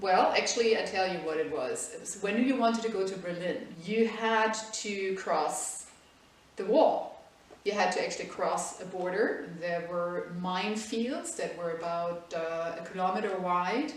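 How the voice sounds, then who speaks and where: Over noticeable background noise and audible room echo, a woman with a German accent speaks fairly slowly at a medium pitch with ordinary pitch variation. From Germany, Munich. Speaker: interviewee. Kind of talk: interview.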